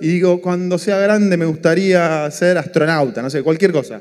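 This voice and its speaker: Over a quiet background, a man talks in a high voice with ordinary pitch variation. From Argentina, Buenos Aires. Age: 40s. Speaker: economist and entrepreneur, speaker; speaker. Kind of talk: motivational talk. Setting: stage with audience. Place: stage. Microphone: handheld.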